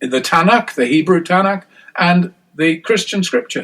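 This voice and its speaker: In an English accent, a man speaks at a high pitch. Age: 60s. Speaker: scholar and author. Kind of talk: interview. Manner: halting, many false starts.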